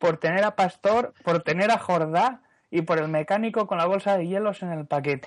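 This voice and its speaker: Pitch moves up and down in an ordinary way. Behind the voice, all is quiet. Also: man, high pitch for a man, moderate pace. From Asturias, Spain. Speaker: podcast panelist. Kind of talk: casual chat.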